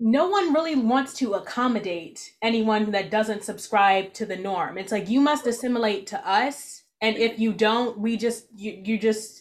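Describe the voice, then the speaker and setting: A woman with a normal speaking voice talks at a moderate pace, her fairly high pitch showing ordinary pitch variation. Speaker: podcast host. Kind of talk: casual interview chat.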